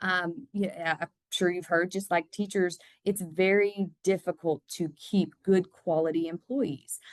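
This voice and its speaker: An unremarkable speaking voice, a woman talks at a medium pitch and fairly slow pace with fairly even intonation, the sound dry and close with no echo. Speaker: construction company manager. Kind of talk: podcast interview.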